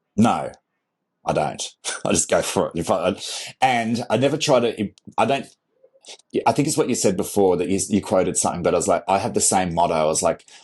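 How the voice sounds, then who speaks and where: At a fairly quick pace broken by long, frequent pauses, a man talks in an Australian accent. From Australia, country Victoria. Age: 40s. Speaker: content creator and photographer. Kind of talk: interview conversation.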